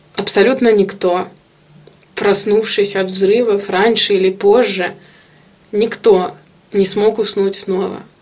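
Over noticeable background noise, a woman speaks at a very slow pace with long, frequent pauses and monotone, flat intonation. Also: medium pitch for a woman. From Kyiv, Ukraine. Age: 20s. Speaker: IT worker. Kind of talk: testimony.

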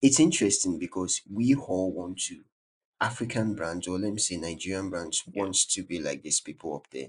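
Against a quiet background, a man speaks with a very deep, low pitch. His pace is moderate and his pitch variation ordinary. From Nigeria. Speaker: branding influencer, graphic designer. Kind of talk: casual interview. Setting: remote call.

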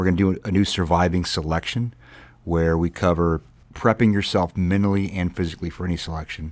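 A man's very deep, low voice at a fairly quick pace, fairly even in intonation, in a very clean recording with a silent background. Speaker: military podcast host. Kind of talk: casual podcast chat. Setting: studio.

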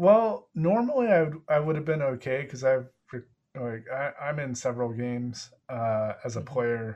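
It is a normal speaking voice, from a man at a medium pitch. He keeps a moderate pace with ordinary pitch variation. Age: 30s. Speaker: podcast host. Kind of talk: casual interview.

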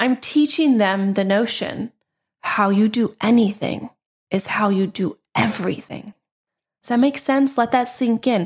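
Somewhat breathy and fairly high, a woman's voice shows ordinary pitch variation on a very clean recording with a silent background. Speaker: podcast host and general contractor. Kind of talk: solo podcast monologue.

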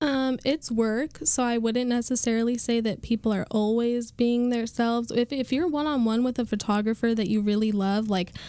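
A woman's fairly high, dark and mellow voice comes through in a very clean recording with a silent background. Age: 20s. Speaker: model. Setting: studio. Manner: talks with hands, animated.

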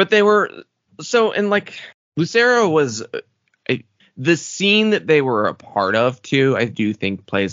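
The speaker is a man. He talks with a slight Southern US accent. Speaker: podcast co-host. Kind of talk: casual chat.

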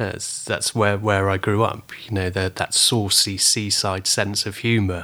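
Fairly low-pitched and monotone, a man with a southern English accent speaks at a fairly slow pace. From southern England (Weymouth, Dorset). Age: 40s. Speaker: photographer. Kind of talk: interview.

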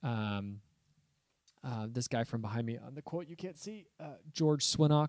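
The man has an unremarkable speaking voice at a medium pitch. He talks at a fairly slow pace with lively intonation. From Southern California. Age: 30s. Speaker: pastor and podcast host. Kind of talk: casual chat.

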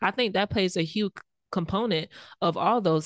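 A woman's dry, close voice with no echo, at a fairly slow pace over a quiet background. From US South, rural Belle Glade, Florida. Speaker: podcast co-host. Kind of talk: casual chat.

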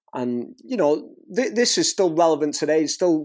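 Speaking with a strong Northwest English accent, a man has a fairly high yet dark, mellow voice, lively intonation and a moderate pace, in a very clean recording with a silent background. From northwest England. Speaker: scratch DJ and teacher. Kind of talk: casual interview chat.

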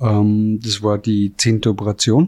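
A man's voice at a medium pitch. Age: 50s. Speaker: chef and restaurant owner. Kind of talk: testimony. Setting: restaurant.

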